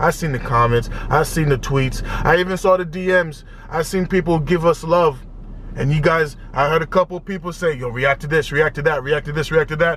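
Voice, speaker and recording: An animated man's voice, fairly high-pitched, over noticeable background noise. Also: moderate pace. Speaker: music reaction youtuber. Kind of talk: casual reaction video commentary. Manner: loud, yelling; animated, repetitive stammering.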